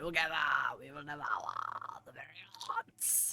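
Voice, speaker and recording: A raspy, put-on character voice delivers lines at a moderate pace. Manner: menacing, grandiose.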